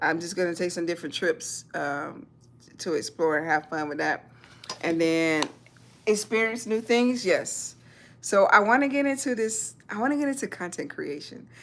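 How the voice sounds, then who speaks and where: A woman with a Southern US accent speaks at a moderate pace from a medium pitch, her pitch swinging very widely. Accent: Southern US (Georgia). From US South. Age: 40s. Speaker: military veteran and YouTuber. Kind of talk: livestream chat. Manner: halting.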